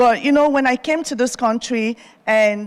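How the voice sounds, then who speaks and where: A woman speaks with an African accent at a moderate pace. Her voice is fairly high in pitch. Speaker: TV host and entrepreneur. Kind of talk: keynote speech. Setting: stage with audience at university.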